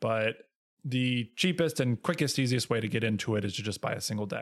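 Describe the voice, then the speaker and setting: On a very clean recording with a silent background, a man talks in a medium pitch. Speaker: podcast host. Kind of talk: solo casual monologue. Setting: home recording with new XLR microphone and headphones. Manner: loud; gets louder when excited.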